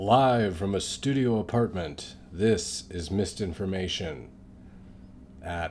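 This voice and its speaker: A man speaks quietly with a very deep, low pitch. His pitch variation is ordinary. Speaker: political commentary live streamer. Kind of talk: live stream commentary with jokes. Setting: studio apartment, late night. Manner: kept low, quiet.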